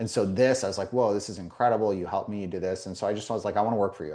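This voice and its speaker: A man with an American accent talks at a very fast pace against a quiet background. His fairly low voice has a dark, mellow tone and fairly even intonation. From Las Vegas, US West. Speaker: indoor environmental consultant. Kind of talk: interview. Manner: casual, filler-heavy.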